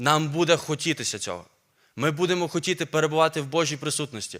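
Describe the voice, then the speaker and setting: In a very clean recording with a silent background, a man with a normal speaking voice talks at a fairly quick pace, his fairly high pitch showing ordinary variation. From Ukraine, Volyn region. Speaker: preacher, seminary teacher. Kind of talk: sermon. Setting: church.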